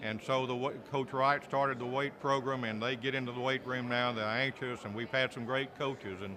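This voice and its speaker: The speaker has a Southern US accent and a monotone, flat intonation. Background noise is noticeable. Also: man. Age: 60s. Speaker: sports play-by-play announcer. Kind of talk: press interview.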